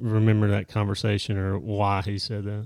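A man's fairly low voice in a flat monotone. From small town. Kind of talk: casual chat. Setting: office. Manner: slow talker.

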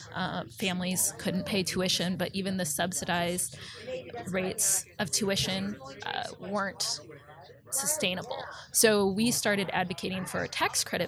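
Against noticeable background noise, a woman at medium pitch talks at a moderate pace with ordinary pitch variation. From Nebraska, Omaha. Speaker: advocacy communications director. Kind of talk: interview.

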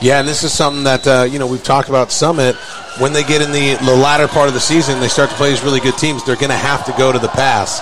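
At a very fast pace, a man talks in a fairly high pitch with monotone, flat intonation amid noticeable background noise. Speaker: color commentator. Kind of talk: live sports commentary, casual analysis. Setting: stadium press box, live radio broadcast. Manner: conversational, relaxed, opinionated; hesitant, filler-heavy, repeats words.

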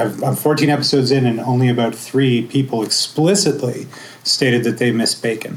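A man talks in a normal speaking voice. His pitch is medium and his pace moderate. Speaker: podcaster, co-host. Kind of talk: panel talk.

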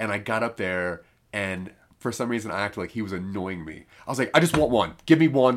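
Here is a man with an ordinary speaking voice and a fairly low pitch. He talks at a fairly quick pace with lively intonation. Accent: American. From US, northeast Maryland. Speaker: podcast host. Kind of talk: casual chat.

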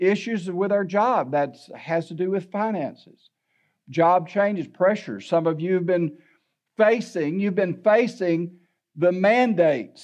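Against a quiet background, a man talks at a fairly slow pace. His pitch is high. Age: 70s. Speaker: pastor. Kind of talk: sermon. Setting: church.

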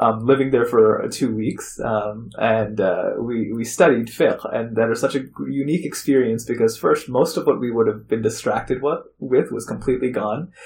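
Speaking at a moderate pace with hardly any pauses, a somewhat breathy man with an American accent uses a medium pitch and ordinary pitch variation. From Chicago area, US Midwest. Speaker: imam and university chaplain. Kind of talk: interview storytelling. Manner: many fillers, halting.

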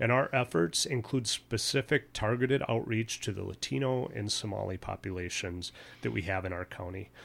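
A man with an American accent speaks at a moderate pace in a fairly low voice. Vocal fry runs through his speech. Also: ordinary pitch variation. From Minnesota. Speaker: police chief. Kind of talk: radio interview. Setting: radio studio.

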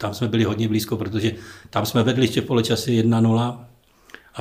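A man speaks in a monotone, flat intonation. Room echo is audible. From Ostrava, Czechia. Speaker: retired footballer. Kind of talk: casual interview. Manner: halting.

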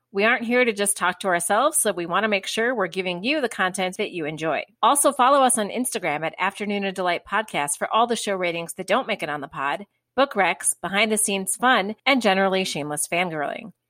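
A woman with a Chicago accent talks very fast at a medium pitch, her tone bright and sharp, her intonation lively, with hardly any pauses. The recording is very clean with a silent background and a dry, close sound with no echo. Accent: Chicago American. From Chicago, US. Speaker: romance novelist podcast host. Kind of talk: casual chat.

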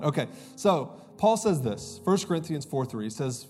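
A man speaking at a very fast pace, with music in the background and audible room echo. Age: 30s. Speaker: pastor. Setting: church stage with live congregation. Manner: relaxed storytelling with self-deprecating laughs and filler words; animated and conversational, building emphasis and repeating key lines.

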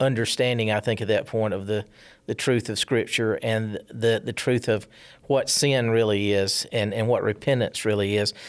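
In a very clean recording with a silent background, a man speaks with a Southern US accent. His pitch is medium, his intonation fairly even and his pace moderate. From South Carolina, small town. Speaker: church member. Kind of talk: testimony. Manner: halting.

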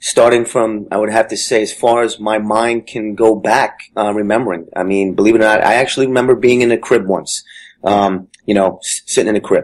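Speaking in an American accent, a man moves at a fairly quick pace with monotone, flat intonation. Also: medium pitch for a man. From New Jersey (Jersey City). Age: 40s. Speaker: Marine veteran. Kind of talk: personal testimony interview.

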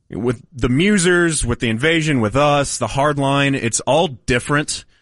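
In an American accent, a man with a plain, everyday voice speaks at a fairly slow pace with lively intonation. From Denton County, Texas. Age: 30s. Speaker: sports radio host. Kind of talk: casual chat.

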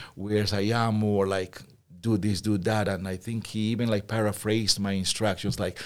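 Speaking at a moderate pace with a Spanish accent, the man has a fairly low voice and a monotone, flat intonation. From Peru. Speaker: school teacher and volleyball coach. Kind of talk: interview.

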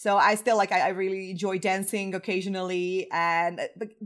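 A woman talks with a Croatian accent. Her pitch is medium and her pace fairly quick. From Croatia, Zagreb. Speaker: web performance engineer. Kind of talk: interview. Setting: remote call from home.

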